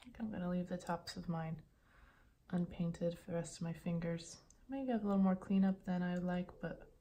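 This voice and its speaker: A woman's somewhat breathy voice has a dark, mellow tone, a fairly low pitch and fairly even intonation. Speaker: ASMR creator. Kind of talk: ASMR nail stamping tutorial roleplay. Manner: calm, teacherly.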